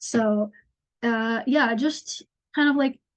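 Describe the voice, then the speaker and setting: A woman's fairly high voice in a Northeastern US accent, with ordinary pitch variation. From upstate New York. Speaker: nature journaling teacher. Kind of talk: online workshop.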